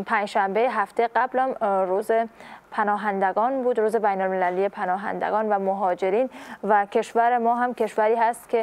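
Her pitch is fairly high, her loudness very even, and her intonation fairly even. This woman speaks at a moderate pace. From Afghanistan. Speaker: morning show host. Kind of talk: interview. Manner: formal. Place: studio. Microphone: lapel.

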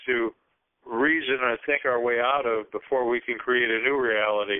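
Against a quiet background, a man speaks at medium pitch and a fairly slow pace with fairly even intonation. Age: 60s. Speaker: regular call participant. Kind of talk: spiritual group call discussion. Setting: phone conference call. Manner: halting, repeats words. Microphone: phone line.

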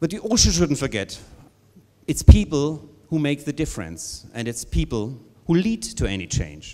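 Vocal fry runs through a man's speech at a moderate pace. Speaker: company executive host. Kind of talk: welcome speech. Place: hall. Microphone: handheld.

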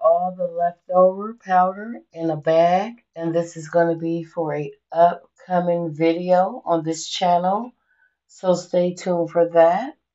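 An ordinary speaking voice moves at a fairly slow pace with fairly even intonation over a quiet background. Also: woman, fairly low pitch for a woman. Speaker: home vlogger. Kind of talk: casual vlog chat. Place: kitchen. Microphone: phone near.

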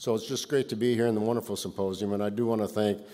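Speaking at a very fast pace, a man has a fairly low pitch and a dark, mellow tone. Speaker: keynote speaker. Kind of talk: keynote speech. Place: hall.

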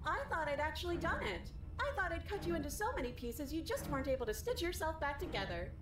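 Over loud background noise, a woman uses a robotic, put-on character voice at an extremely high pitch and a very fast pace.

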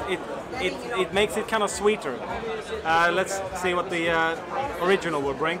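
Over crowd noise in the background, a man speaks with ordinary pitch variation. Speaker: snus reviewer. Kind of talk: casual review commentary. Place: home room.

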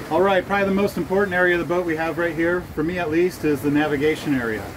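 A man's voice with ordinary pitch variation over noticeable background noise. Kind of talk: casual vlog chat. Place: boat. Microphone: phone near.

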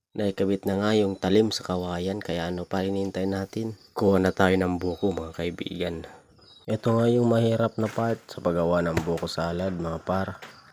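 Very deep, low-pitched male speech with fairly even intonation, at a moderate pace. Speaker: vlogger. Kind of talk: casual vlog narration.

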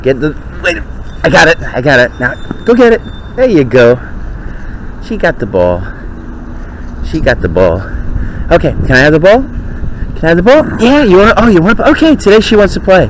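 In dry sound with no echo and light background noise, a man speaks with long, frequent pauses. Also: moderate pace. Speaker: dog owner. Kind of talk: casual talk while playing with dog. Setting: outdoors, body-worn pen camera mic. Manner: whispering or normal talking. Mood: playful, affectionate. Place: garden. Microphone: phone near.

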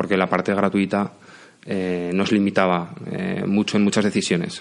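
A man talks at a fairly slow pace in a fairly low pitch, his intonation monotone and flat. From Spain, Aragon (Zaragoza). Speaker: software company CEO. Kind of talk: interview. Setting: studio.

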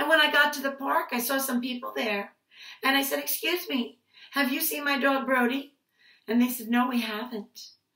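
In an animated, warm tone, a woman speaks at a high pitch, with audible room echo and a quiet background. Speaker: preschool teacher. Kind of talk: picture-book storytelling for small children. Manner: animated, sing-song voice acting out calls and ouches; warm, slow, playful teacher tone addressing toddlers. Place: home room. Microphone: webcam.

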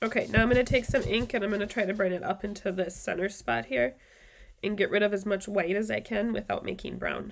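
A woman talks at a very fast pace with vocal fry. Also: ordinary pitch variation. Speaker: craft video host. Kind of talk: tutorial. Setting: live stream at home. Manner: casual, friendly, filler words. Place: home room.

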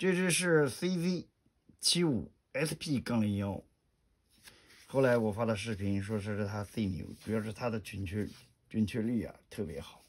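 Very wide pitch swings mark this fairly slow delivery, broken by long, frequent pauses, in a very clean recording with a silent background. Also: man, fairly low pitch for a man. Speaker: gun hobbyist vlogger. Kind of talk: tutorial. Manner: soft-spoken.

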